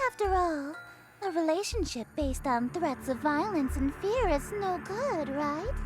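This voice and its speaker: An extremely high, female-sounding put-on character voice at a moderate pace, with clear background noise. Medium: game stream. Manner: haughty, teasing.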